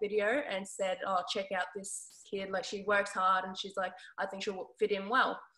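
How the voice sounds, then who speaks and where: A woman with an Australian accent speaks in a bright, sharp tone and flat monotone intonation against a quiet background. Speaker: basketball player. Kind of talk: interview. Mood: relaxed, friendly. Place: home room. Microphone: video call.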